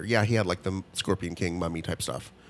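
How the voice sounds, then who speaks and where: A man with an ordinary speaking voice talks at a fairly quick pace with ordinary pitch variation, on a very clean recording with a silent background. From Italian-American. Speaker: podcast co-host. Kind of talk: casual chat.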